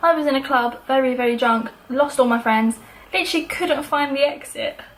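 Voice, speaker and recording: Her voice is high, and its pitch varies in an ordinary way. This woman is heard over noticeable background noise. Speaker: YouTuber. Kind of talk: casual storytime vlog. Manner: fast; animated.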